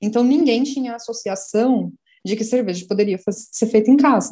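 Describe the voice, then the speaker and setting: Her pitch is fairly high, with ordinary variation, and her tone is dark and mellow. The woman keeps a moderate pace. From Brazil, São Paulo. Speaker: journalist, beer communication specialist. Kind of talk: casual panel interview.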